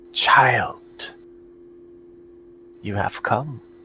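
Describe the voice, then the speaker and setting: A man speaks softly in a put-on character voice with a raspy edge. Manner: gentle, mysterious.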